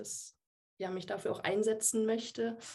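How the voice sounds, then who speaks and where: A woman with a dark, mellow tone talks at a fairly slow pace with fairly even intonation. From Würzburg, Franconia, Germany. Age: 20s. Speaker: software developer and watercolour artist. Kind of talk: casual interview.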